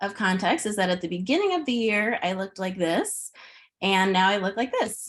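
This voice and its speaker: A woman with a Chicago accent speaks at a fairly quick pace in a very clean recording with a silent background. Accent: Chicago-area American. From US Midwest, Chicago suburbs. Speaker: pre-K teacher. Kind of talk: presentation.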